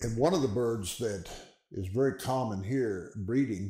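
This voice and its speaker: A somewhat breathy voice with a dark, mellow tone moves at a moderate pace. Pitch variation is ordinary, and there is audible room echo. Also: man. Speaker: wildlife woodcarver, retired forest supervisor. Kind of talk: interview / tutorial demonstration; interview answer. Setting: carving studio. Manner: hesitant, many fillers. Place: workshop.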